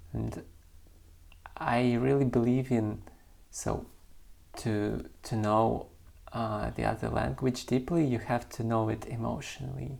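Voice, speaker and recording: The speaker has a non-native accent and a fairly slow pace. Long, frequent pauses break up the speech. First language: not English. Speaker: poet and channel host. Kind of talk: casual reflective talk to camera. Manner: halting, with fillers and restarts.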